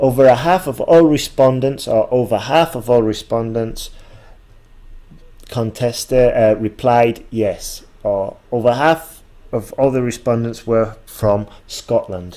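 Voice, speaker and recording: A man's dark, mellow tone at medium pitch, with a slight northern English accent, ordinary pitch variation and a fairly slow pace. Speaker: English exam teacher. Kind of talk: tutorial.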